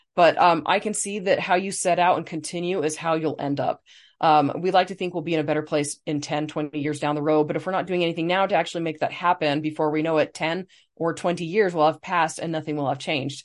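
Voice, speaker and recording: Against a quiet background, the speech moves at a very fast pace with fairly even intonation. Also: woman, fairly low pitch for a woman. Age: 40s. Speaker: podcast co-host, author. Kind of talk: casual chat.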